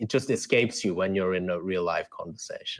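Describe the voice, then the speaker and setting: Here a man talks with an Australian accent. The recording is very clean, with a silent background. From South Korea, then Australia from age eight. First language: Korean. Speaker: debate coach and author. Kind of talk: interview.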